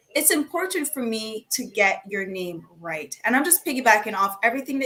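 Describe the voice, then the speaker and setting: A woman with a Jamaican accent. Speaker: panelist. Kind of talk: panel discussion.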